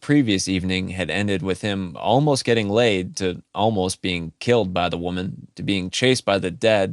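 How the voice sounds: Ordinary shifts in pitch run through the natural reading voice.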